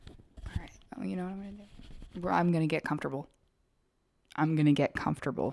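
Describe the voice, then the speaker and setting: Whispering at a very fast pace, broken by long, frequent pauses. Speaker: vlogger. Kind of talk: casual chat. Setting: home, living room floor. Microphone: new microphone.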